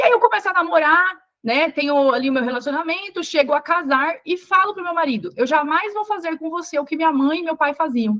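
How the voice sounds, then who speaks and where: Her bright, sharp tone sits at an extremely high pitch, with lively intonation. This woman talks at a fairly quick pace with hardly any pauses. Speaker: psychologist and couples therapist. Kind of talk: live online class. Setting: livestream with chat. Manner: fast; animated, conversational.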